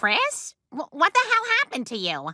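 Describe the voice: A cartoonish character voice, female-sounding and high pitched, at a moderate pace.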